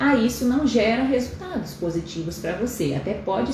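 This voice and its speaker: Over noticeable background noise and audible room echo, a woman talks at a moderate pace with lively intonation. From Pará, northern Brazil. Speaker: endocrinologist. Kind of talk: live stream talk. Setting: live stream.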